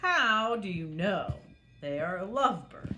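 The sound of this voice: Using a put-on character voice with a bright, sharp tone, a woman speaks slowly at a medium pitch with big pitch swings, audible room echo and faint music in the background.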